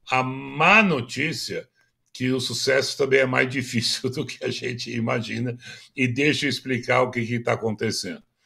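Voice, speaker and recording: At a moderate pace, the speaker uses a bright, sharp tone with vocal fry and ordinary pitch variation. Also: man, medium pitch for a man. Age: 80s+. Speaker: business consultant and speaker. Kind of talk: interview. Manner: halting, many fillers.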